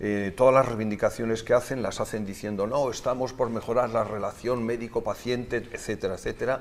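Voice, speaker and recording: A man talks at a fairly quick pace with hardly any pauses. His intonation stays monotone and flat. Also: medium pitch for a man. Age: 60s. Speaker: politician and doctor. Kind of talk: interview.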